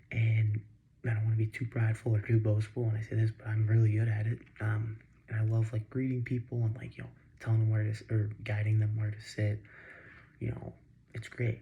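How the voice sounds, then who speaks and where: Quiet, somewhat breathy voice with a dark, mellow tone, monotone intonation and a fairly quick pace. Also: man, fairly low pitch for a man. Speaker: vlogger. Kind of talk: casual vlog monologue. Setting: home at night. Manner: halting, many fillers. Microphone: too quiet.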